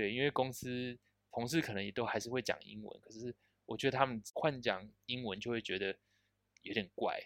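A plain, everyday voice, a man's, medium in pitch, with fairly even intonation and big swings in loudness. He moves at a fairly quick pace, and the sound is dry and close with no echo. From Taiwan. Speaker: software engineer. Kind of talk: casual interview.

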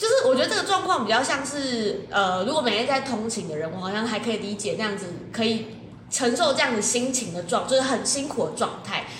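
A woman's fairly high, animated voice with lively intonation at a fairly quick pace, amid audible room echo and noticeable background noise. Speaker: podcast co-host. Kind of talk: casual chat. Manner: animated, laughing often.

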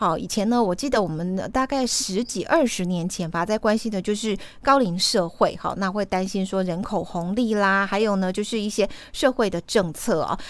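At a moderate pace, a woman talks in a normal speaking voice at medium pitch with ordinary pitch variation. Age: 40s. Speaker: radio host. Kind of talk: radio interview.

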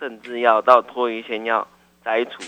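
This man has a plain, everyday voice. He speaks with medium pitch at a moderate pace. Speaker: caller. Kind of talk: call-in question to radio doctor. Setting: phone call. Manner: polite.

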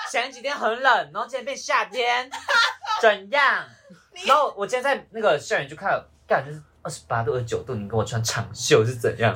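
Over noticeable background noise, a man talks at a fairly quick pace. His loudness swings a lot. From Malaysia. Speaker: university student. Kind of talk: casual chat.

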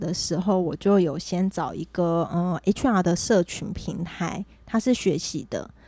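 A woman speaks at a fairly slow pace in a dark, mellow tone of medium pitch, with ordinary pitch variation. The recording is very clean, the background silent. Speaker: HR professional. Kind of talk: casual chat. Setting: host's home.

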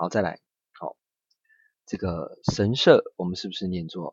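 A very slow-paced man's voice, very deep and low. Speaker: Japanese language teacher. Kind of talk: language lesson. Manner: slow, repetitive drilling.

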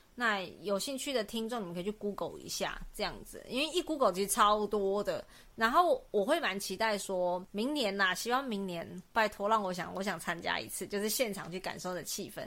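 A woman talks at a moderate pace with a bright, sharp tone, medium pitch, ordinary pitch variation and hardly any pauses. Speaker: podcast co-host. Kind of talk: casual chat.

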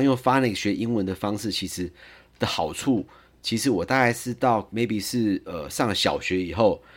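A man with a strong Taiwanese accent speaks at medium pitch and a moderate pace, his intonation lively, in a very clean recording with a silent background. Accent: heavy Taiwanese accent in English. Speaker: lawyer sharing parenting experience. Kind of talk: podcast monologue. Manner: frequent fillers and hesitations.

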